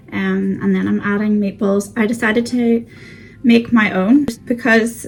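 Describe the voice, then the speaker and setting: A woman speaks at a very slow pace in a fairly high voice with fairly even intonation. Noticeable background noise can be heard behind her. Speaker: frugal living vlogger. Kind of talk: casual cook-along vlog. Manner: chatty, with fillers.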